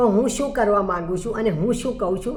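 A woman is speaking. Her voice carries an audible room echo. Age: 60s. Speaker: life coach. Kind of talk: motivational talk.

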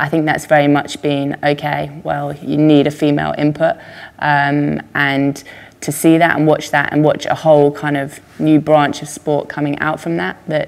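Speaking at a moderate pace, a woman uses a very deep, low pitch. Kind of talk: interview answer. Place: home room.

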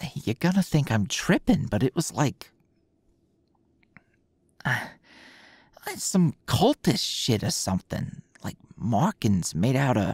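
At a very slow pace with long, frequent pauses, this voice is heard in a dry sound with no echo against a quiet background. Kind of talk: intimate roleplay audio drama. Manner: low drowsy voice, uneasy.

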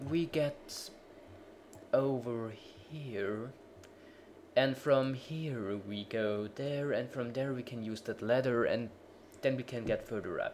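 The speech moves at a very slow pace, with long, frequent pauses. Noticeable background noise runs underneath. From Germany. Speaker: gaming video creator. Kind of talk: let's play commentary.

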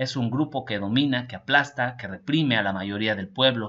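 The delivery is animated, with a bright, sharp tone, ordinary pitch variation and a moderate pace. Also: man. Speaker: political news commentator. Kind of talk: news reading with personal commentary. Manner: informal, animated.

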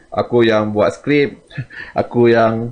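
Fairly even intonation marks this man's very slow speech. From Malaysia. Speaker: comic artist and YouTuber; comic artist, YouTuber. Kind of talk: casual vlog talk to viewers. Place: home room. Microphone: studio mic.

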